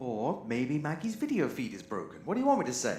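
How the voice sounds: A woman puts on a character voice, dark and mellow in tone and extremely low in pitch. She moves at a fairly quick pace with very wide pitch swings.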